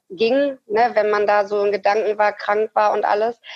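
The speaker is a woman. Her pitch is fairly high. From Ruhr area, western Germany. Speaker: amputee, prosthesis wearer. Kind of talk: interview, personal story. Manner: hesitant, many fillers.

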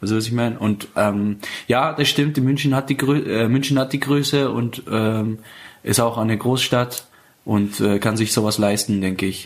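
The intonation stays fairly even at a moderate speed. It is an ordinary speaking voice. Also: man. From Iran, Afghan family. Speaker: stand-up comedian and show host. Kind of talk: casual interview. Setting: living room, portable recorder.

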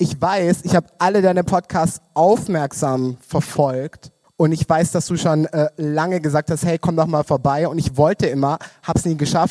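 A man's dark, mellow voice, fairly high in pitch, at a moderate pace with fairly even intonation. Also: dry, close sound with no echo. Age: 20s. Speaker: queer community worker. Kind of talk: casual chat. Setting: live-streamed club event.

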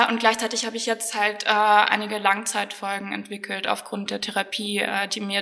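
Moderate pace from a woman at medium pitch, over noticeable background noise. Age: 20s. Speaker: medical student with chronic illness. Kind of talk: personal testimony interview.

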